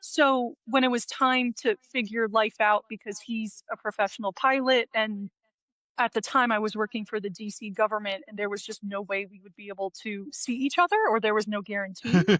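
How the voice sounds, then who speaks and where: With a slight New Jersey accent, a woman speaks at a moderate pace in a fairly high pitch, with ordinary pitch variation and big swings in loudness. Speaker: live wedding painter. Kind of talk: casual interview. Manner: animated.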